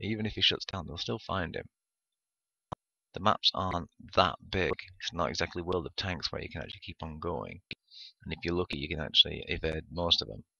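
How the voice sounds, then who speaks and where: A man's very deep, low voice in an English accent, with vocal fry, a fairly quick pace broken by long, frequent pauses, and big swings in loudness. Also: ordinary pitch variation. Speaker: gaming YouTuber. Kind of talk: gameplay commentary. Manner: hesitant with many fillers.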